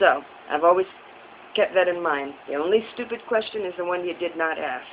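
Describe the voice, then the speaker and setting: Over noticeable background noise, a woman talks in a fairly low pitch. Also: ordinary pitch variation, fairly quick pace. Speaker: vlogger. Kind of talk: casual vlog monologue. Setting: recorded on a phone propped up. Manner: fast. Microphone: phone camera.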